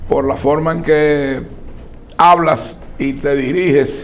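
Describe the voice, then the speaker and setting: A man speaking, with noticeable background noise and audible echo from the room. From Dominican Republic. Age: 60s. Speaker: political commentator. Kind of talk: interview. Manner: formal.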